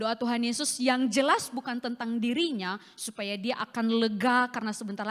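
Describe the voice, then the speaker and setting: A woman speaks with a fairly high pitch and ordinary pitch variation. Her pace is fairly quick. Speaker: evangelist preacher. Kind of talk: sermon. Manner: forceful, sounds like scolding.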